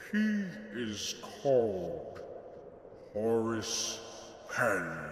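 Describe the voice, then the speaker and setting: A man speaks in a put-on character voice, with clear background noise and a clear echo. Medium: audio drama. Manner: formal, respectful.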